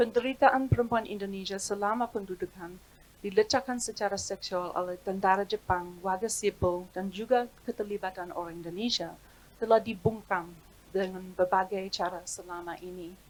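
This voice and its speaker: A woman at medium pitch speaks at a moderate pace with fairly even intonation. Her loudness swings widely. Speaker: historian. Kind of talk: reading aloud. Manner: formal.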